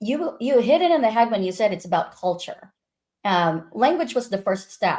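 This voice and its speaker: A woman speaks at a moderate pace with a fairly high pitch. Her pitch swings very widely. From Philippines. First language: Filipino. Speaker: project management executive. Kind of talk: podcast interview.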